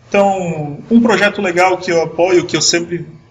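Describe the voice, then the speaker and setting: Room echo is audible as a man speaks at a high pitch and moderate pace, with fairly even intonation. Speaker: IT manager giving a tech talk. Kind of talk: online conference talk. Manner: halting, with many restarts.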